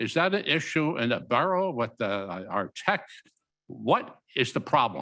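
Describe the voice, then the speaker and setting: A bright, sharp tone with vocal fry and very wide pitch swings, at a moderate pace in a very clean recording with a silent background. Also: man. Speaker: council member. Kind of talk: council meeting discussion. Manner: loud.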